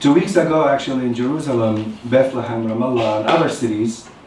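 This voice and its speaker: Here a man speaks at a medium pitch. There is noticeable background noise and audible room echo. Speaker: academic speaker on a panel. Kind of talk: conference talk. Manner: fast.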